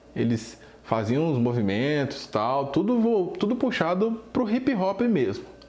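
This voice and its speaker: At a very slow pace, a man with a high voice speaks in very wide pitch swings, with audible room echo. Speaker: drum teacher. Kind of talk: casual video talk.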